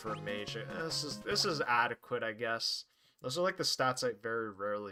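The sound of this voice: This reading voice is unforced, and its intonation rises and falls in a lively way.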